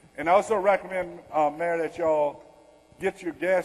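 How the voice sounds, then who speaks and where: A man with a Louisiana accent, high-pitched and at a fairly quick pace. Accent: Louisiana Southern. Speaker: retired army general, disaster response speaker. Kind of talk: keynote Q&A. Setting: conference session with audience.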